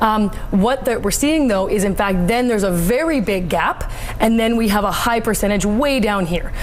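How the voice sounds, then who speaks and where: Against noticeable background noise, a woman talks at a fairly quick pace with a fairly high pitch and ordinary pitch variation. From Canada. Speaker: host and moderator. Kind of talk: interview answer.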